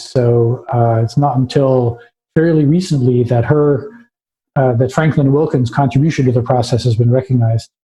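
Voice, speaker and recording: Somewhat breathy and dark, mellow in tone, a man's voice sits fairly high in pitch with ordinary variation. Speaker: science history lecturer. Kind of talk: lecture. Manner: halting with many fillers.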